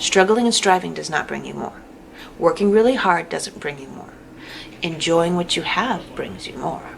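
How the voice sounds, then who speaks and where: A woman's fairly low voice with ordinary pitch variation and big swings in loudness, amid noticeable background noise. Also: moderate pace. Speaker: tarot reader. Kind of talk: tarot reading monologue. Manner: halting; casual.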